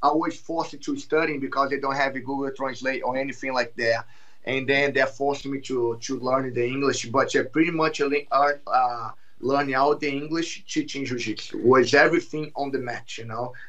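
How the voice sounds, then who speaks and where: Speaking with a Brazilian Portuguese accent, a man with a fairly high pitch keeps a moderate pace and fairly even intonation. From Brazil, Rio de Janeiro. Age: 30s. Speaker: jiu-jitsu champion and instructor. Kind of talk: podcast interview.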